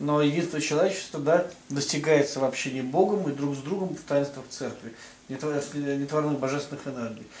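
A man with a fairly high voice speaks with fairly even intonation and big swings in loudness. Audible room echo and light background noise surround him. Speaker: religious writer. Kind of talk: casual discussion. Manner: halting. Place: meeting room.

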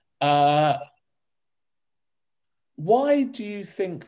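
In a quiet setting, a man talks with a lively rise and fall in his intonation. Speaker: interviewer. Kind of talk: casual interview questions. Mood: warm, gently joking. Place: home room. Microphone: video call.

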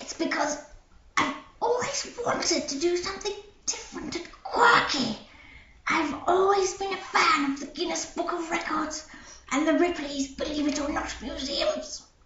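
In a cartoonish character voice with a high pitch, the speaker talks at a moderate pace with slight echo.

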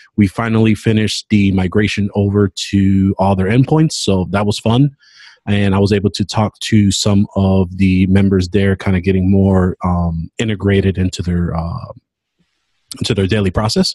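Against a quiet background with a dry sound and no echo, a man in an unremarkable speaking voice talks at a moderate pace, his pitch fairly low and his intonation fairly even. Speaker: podcast co-host. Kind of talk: casual update chat. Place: office. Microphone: webcam.

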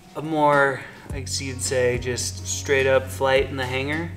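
At a fairly slow pace, a man talks over clear background music. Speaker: beer vlogger. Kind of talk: casual vlog chat. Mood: relaxed, cheerful. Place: garage. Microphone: camera far.

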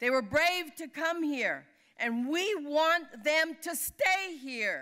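Against a quiet background, a woman uses a raised, projected voice with a bright, sharp tone, lively intonation and a very slow pace. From California Central Valley; California. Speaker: labor leader; speaker. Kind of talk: award acceptance speech. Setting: dinner event on stage. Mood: earnest, rousing. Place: hall. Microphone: podium.

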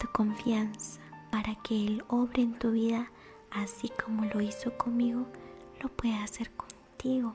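Clear music plays behind a woman's voice. She speaks fairly slowly in a flat, monotone way. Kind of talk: personal faith testimony to camera. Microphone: studio mic.

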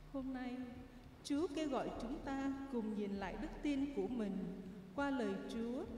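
A woman speaking at a very slow pace with ordinary pitch variation, audible room echo and light background noise. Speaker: lector or commentator at Mass. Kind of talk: liturgical announcement reading. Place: church.

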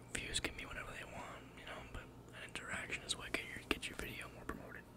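A man's very fast whispering, with big swings in loudness. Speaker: ASMR artist. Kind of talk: ASMR whisper ramble. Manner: whispered. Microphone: studio mic.

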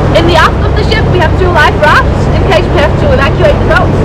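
Crowd noise fills the background. A woman talks at a fairly quick pace. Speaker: tour guide. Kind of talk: guide's welcome and safety briefing. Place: boat. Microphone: camera far.

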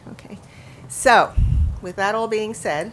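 A woman speaks at a medium pitch. Her pace is moderate. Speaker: forum moderator. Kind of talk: closing announcements. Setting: public forum with live audience. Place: meeting room. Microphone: podium.

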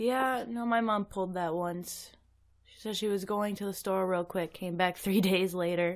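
A woman speaks at a medium pitch and moderate pace, in a plain, everyday voice. Her intonation is fairly even, but her loudness swings widely. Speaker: guest co-host. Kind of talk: casual banter.

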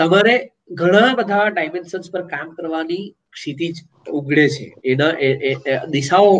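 A man's fairly high voice with ordinary pitch variation, a plain, everyday voice. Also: big swings in loudness. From South Gujarat, Valsad district; South Gujarat. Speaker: writer and columnist; guest. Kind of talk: interview. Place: home room. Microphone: earbuds.

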